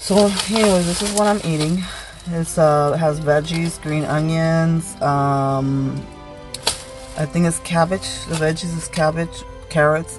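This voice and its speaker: Clear music plays behind a woman speaking at a very slow pace. Her voice is very deep and low, with ordinary pitch variation. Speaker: vlogger on work lunch break. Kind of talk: casual vlog chat. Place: car. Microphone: phone near.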